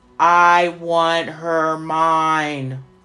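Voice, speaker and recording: A put-on character voice sits at a middle pitch, delivered in a monotone, flat intonation. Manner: growling.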